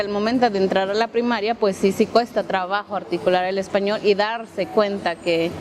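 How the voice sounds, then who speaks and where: Noticeable background noise runs under this clip. A woman speaks at a moderate pace with ordinary pitch variation. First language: Mixtec (speaking Spanish). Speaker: interviewee. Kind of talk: documentary interview.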